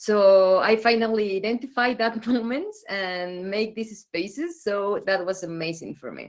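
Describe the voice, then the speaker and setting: Hardly pausing yet at a fairly slow pace, a woman speaks at a medium pitch with a Spanish accent, ordinary pitch variation and big swings in loudness. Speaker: mentor in training. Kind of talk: workshop participant sharing feedback.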